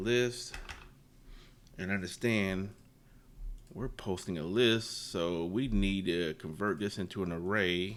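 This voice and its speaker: A man speaks at a very slow pace. His voice sits at a very deep, low pitch. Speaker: programming tutorial youtuber. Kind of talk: tutorial. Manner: casual, halting.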